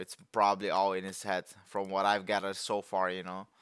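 A man's bright, sharp tone at a moderate pace, dry with no echo, against a quiet background. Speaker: music reactor. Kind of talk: casual reaction commentary. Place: home room. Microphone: headset.

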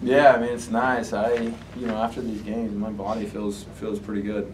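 With audible room echo, a man talks at a moderate pace in a fairly low voice that has little pitch movement.

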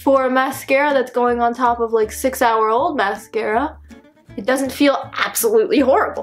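A woman's high-pitched voice at a moderate pace, with ordinary pitch variation and faint music in the background. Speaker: beauty vlogger. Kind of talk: casual vlog chat. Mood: playful, joking. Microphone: phone near.

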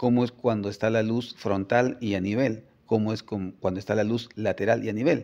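A man's medium-pitched voice, dark and mellow, at a moderate pace with fairly even intonation and hardly any pauses. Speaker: photographer and communications professor; interviewee. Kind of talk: interview. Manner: hesitant repetitions. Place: office. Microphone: phone near.

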